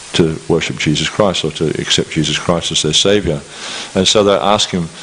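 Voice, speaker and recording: Over noticeable background noise, a man talks at a fairly quick pace in a very deep, low voice with ordinary pitch variation. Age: 60s. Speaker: scripture lecturer. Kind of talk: lecture. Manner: halting, many repetitions.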